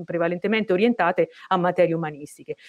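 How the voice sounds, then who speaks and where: The speaker is a woman. Nothing stirs in the quiet background. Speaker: moderator. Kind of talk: formal event introduction. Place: office. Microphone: earbuds.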